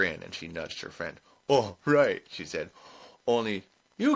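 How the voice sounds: Natural voice of someone reading aloud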